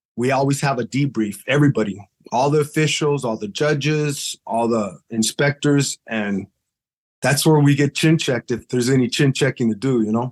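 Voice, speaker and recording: In a dry, close recording with no echo and a quiet background, a man with an American accent and an ordinary speaking voice talks at a moderate pace and medium pitch with ordinary pitch variation. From Los Angeles area, California. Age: 50s. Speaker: boxing referee. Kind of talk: podcast interview. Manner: casual, slangy.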